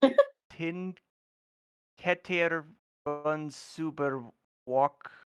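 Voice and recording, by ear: In a put-on, robotic character voice at a middle pitch, the speaker goes at a very slow pace with long, frequent pauses.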